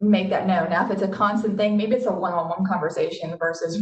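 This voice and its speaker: A woman speaks at a very fast pace, her medium-pitched voice keeping fairly even intonation. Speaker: marketing executive. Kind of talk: webinar panel discussion. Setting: video call.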